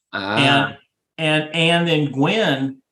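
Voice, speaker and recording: This man has a fairly high pitch and a bright, sharp tone, speaking with a slight Southern US accent. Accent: slight Southern twang. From Tennessee. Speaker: podcast co-host.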